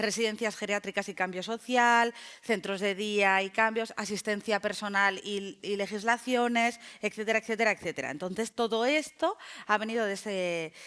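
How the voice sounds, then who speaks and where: The recording is very clean, with a silent background. A woman speaks at a fairly quick pace in a medium pitch with ordinary variation. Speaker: sociologist. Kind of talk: lecture. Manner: fast; animated.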